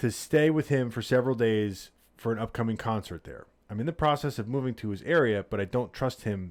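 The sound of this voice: An unforced reading voice carries the text. Pitch moves with ordinary variation.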